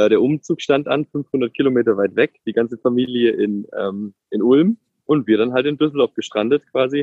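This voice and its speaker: A man at a medium pitch with ordinary pitch variation and an unremarkable speaking voice. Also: moderate pace. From Ulm, southern Germany (Swabia). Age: 30s. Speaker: tech executive and father. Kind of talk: interview.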